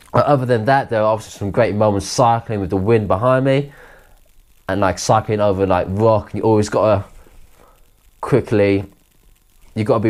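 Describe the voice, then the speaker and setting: In a very clean recording with a silent background, a man with a southern English accent speaks fairly quickly at a fairly low pitch with fairly even intonation, taking long, frequent pauses. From Kent, south-east England. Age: 20s. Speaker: adventurer recounting a trip. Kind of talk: interview monologue. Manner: halting, with restarts.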